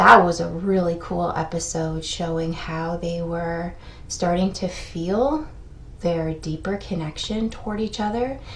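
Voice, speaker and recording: Somewhat breathy speech at a fairly slow pace, with ordinary pitch variation, carries audible room echo. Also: woman, fairly low pitch for a woman. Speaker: therapist explaining TV shows. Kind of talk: video commentary.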